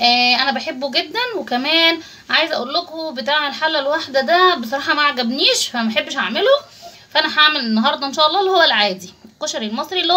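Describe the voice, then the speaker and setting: A woman's raised, projected voice at a fairly quick pace. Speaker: home cooking channel host. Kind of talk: cooking tutorial chat. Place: kitchen. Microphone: phone near.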